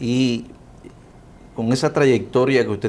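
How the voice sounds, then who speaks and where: A man with a Cuban accent talks at a moderate pace. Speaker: interviewer. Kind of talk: interview.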